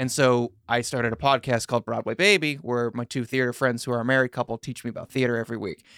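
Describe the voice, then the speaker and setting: A man with an American accent at a very fast pace, hardly any pauses, medium pitch and ordinary pitch variation, on a very clean recording with a silent background and a dry, close sound with no echo. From New York (Long Island). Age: 30s. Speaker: comedian. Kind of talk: casual chat.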